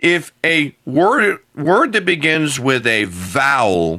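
A man with an American accent, fairly high pitch, very wide pitch swings, a bright, sharp tone and vocal fry, on a very clean recording with a silent background. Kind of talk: casual chat.

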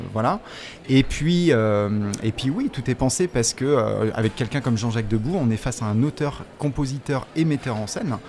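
Over music in the background, a man of medium pitch speaks at a moderate pace with ordinary pitch variation. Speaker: researcher and teacher. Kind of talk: interview.

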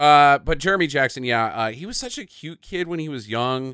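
On a very clean recording with a silent background, a man speaks at a fairly quick pace in a bright, sharp tone. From small town. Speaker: podcast host. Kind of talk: casual chat.

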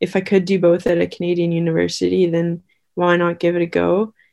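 A woman speaks at a fairly quick pace. Her voice has a fairly low pitch and a dark, mellow tone. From Victoria, British Columbia, Canada. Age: 20s. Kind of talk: interview. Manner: halting, many fillers.

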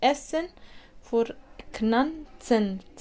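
A woman with an Arabic accent speaks at a very slow pace. Her pitch is fairly high, with ordinary variation. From Iraq. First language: Arabic (speaking German). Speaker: meeting participant. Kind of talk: interview. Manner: halting.

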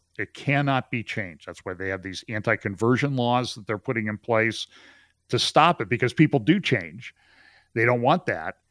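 A man speaks in a normal speaking voice at medium pitch, his intonation lively and his loudness swinging widely. The sound is dry and close with no echo, over a quiet background. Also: moderate pace. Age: 60s. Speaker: pastor and trial lawyer. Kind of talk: casual chat.

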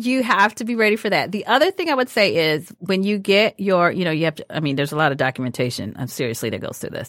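A woman's animated, very fast delivery with hardly any pauses, vocal fry and very wide pitch swings, in a dry, close sound with no echo. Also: medium pitch for a woman. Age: 40s. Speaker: podcast host, middle school teacher. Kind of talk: casual interview chat. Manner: animated, laughing often.

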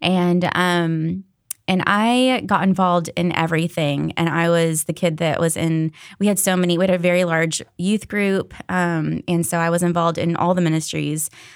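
In an unremarkable speaking voice, a woman talks with an American accent at a moderate pace and a fairly low pitch. Her intonation stays fairly even, and her loudness is very even. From Florida, Daytona Beach. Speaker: digital event coordinator. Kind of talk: casual chat.

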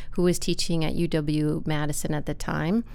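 With fairly low pitch and ordinary pitch variation, a woman talks in an unremarkable speaking voice. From US Midwest, Wisconsin. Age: 40s. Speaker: university staff member and arts nonprofit worker. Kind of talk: casual interview conversation.

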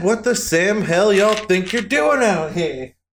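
A loud, drawling put-on character voice from a man, high-pitched, at a moderate pace. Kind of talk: Western folk speech. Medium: actual play. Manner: loud, challenging drawl.

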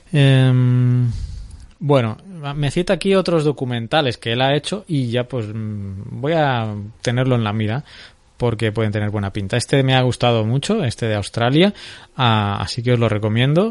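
Medium pitch for a man, ordinary pitch variation, and a moderate tempo. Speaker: podcast host. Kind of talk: casual chat.

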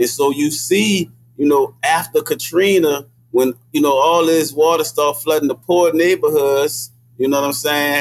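A man talks in a New Orleans accent at a fairly high pitch. His intonation is fairly even and his loudness very even. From New Orleans, Desire Project. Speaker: hip hop artist and activist. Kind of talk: casual chat. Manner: halting, many fillers.

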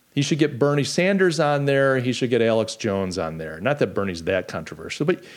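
With a fairly quick pace and vocal fry, a man at medium pitch makes very wide pitch swings. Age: 50s. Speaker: podcast host. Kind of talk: casual political chat livestream. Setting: live stream.

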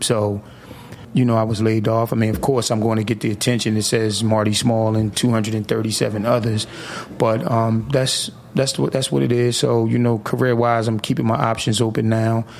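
A man with an American accent speaks at a moderate pace in a medium pitch, keeping his intonation fairly even and his loudness very even. Noticeable background noise runs behind him. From US Northeast, Atlantic City, New Jersey. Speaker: city council president. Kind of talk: radio interview. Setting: radio studio.

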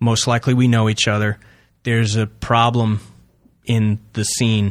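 In a normal speaking voice with an American accent, this speaker talks at a moderate pace with fairly even intonation on a very clean recording with a silent background. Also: man. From Long Island, New York (Suffolk County). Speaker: improv comedian. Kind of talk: interview.

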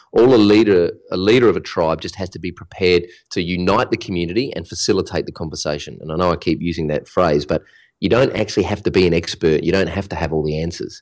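Very deep and low in pitch, a man talks very fast in an Australian accent. The recording is very clean with a silent background. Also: ordinary pitch variation. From Australia (Melbourne). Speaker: digital business coach. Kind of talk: interview.

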